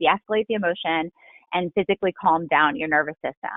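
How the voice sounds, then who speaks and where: This is a woman talking. Her pitch shifts by an ordinary amount. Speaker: author and workplace expert. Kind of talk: online workshop talk. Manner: fast.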